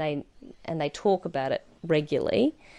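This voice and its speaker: This woman has a very deep, low pitch. She speaks with an Australian accent. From central Queensland, Australia. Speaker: cattle producer. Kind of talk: interview. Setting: on a cattle station.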